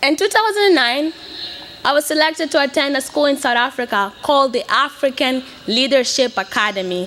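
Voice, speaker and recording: A woman speaks fairly quickly with a high pitch and lively intonation. Her loudness stays very even, and there is noticeable background noise. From Mozambique (Beira). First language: Portuguese. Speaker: graduating student speaker. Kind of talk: commencement speech. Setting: stage with audience.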